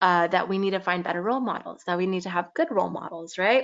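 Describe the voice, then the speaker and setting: A woman with a slight Californian accent and ordinary pitch variation. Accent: California valley girl accent, slight. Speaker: youth teacher. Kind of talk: talk to children. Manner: casual, many fillers.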